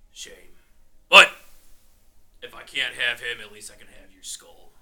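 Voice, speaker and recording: Putting on a character voice, a man talks at a medium pitch and a moderate pace. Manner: calm, menacing, contemptuous.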